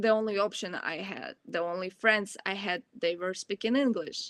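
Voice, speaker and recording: A woman speaks with a Ukrainian accent. Her pitch sits at a medium level. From Ukraine. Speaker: college student. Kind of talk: Q&A answer at online presentation.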